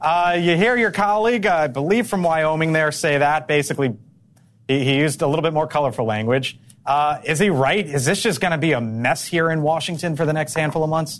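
An energetic man's voice, fairly high in pitch, at a fairly quick pace, with ordinary pitch variation and very even loudness. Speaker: news anchor. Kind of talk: live TV news anchoring. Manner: fast, energetic, conversational.

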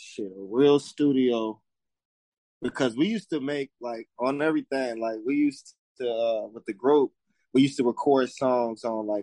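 A man with an American accent, medium pitch and a moderate pace. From Las Vegas, Nevada. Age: 30s. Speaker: hip hop artist. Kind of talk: casual interview chat.

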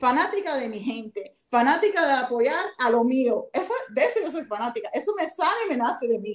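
High pitch and very wide pitch swings from a woman. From Miami, Florida, Cuban-American family. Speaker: baseball players' agent. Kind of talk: casual chat.

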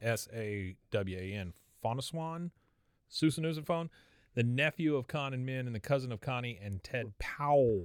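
In a very clean recording with a silent background and a dry, close sound with no echo, a man with an American accent talks at a medium pitch with lively intonation. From Texas. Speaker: podcast host. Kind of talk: casual chat. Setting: video studio.

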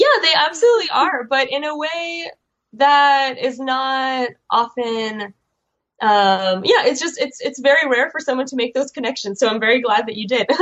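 With a Chicago accent, a woman speaks at a high pitch and a moderate pace, with ordinary pitch variation. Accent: American, Chicago. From US Midwest, Chicago (Soviet immigrant community). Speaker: graphic novelist and PhD student. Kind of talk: interview. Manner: hesitant, many fillers.

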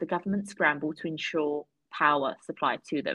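A somewhat breathy woman's voice with a British accent. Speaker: podcast guest. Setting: video call.

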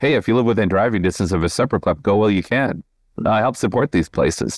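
A man's fairly low voice with an American accent, ordinary pitch variation and an unremarkable speaking voice, dry and close with no echo, against a quiet background. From southeastern Minnesota. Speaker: novelist. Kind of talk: casual interview.

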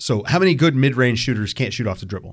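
This is an unremarkable speaking voice with lively intonation. The recording is very clean, with a silent background. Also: man. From Virginia, US (Richmond). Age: 30s. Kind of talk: casual chat. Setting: internet call.

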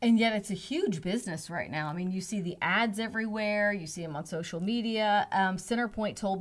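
A plain, everyday voice from a woman, at a moderate pace with ordinary pitch variation. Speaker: radio host. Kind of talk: interview.

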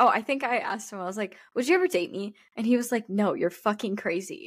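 In a very clean recording with a silent background, a woman with a fairly high pitch talks at a fairly quick pace in an animated tone. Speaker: podcast co-host. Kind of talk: casual chat. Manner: animated, laughing.

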